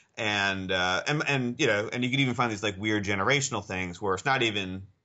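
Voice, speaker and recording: This is a man speaking. His pace is very fast. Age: 40s. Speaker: psychology professor and researcher. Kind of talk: casual interview. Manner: hesitant, many fillers and repeats.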